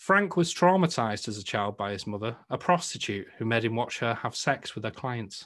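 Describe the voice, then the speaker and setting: A man with a northern English accent, lively intonation and a moderate pace on a very clean recording with a silent background. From northern England. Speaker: podcast host. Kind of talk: casual chat.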